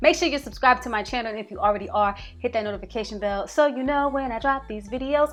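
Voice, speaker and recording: Over music in the background, a woman speaks in an animated tone with lively intonation. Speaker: hair care YouTuber. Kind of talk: casual vlog tutorial.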